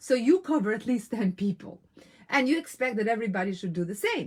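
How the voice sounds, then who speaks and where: A woman with a non-native accent speaks at a moderate pace in an animated tone, her fairly high, somewhat breathy voice marked by lively intonation. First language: not English. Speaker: women's business coach. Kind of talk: live online coaching talk. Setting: live stream.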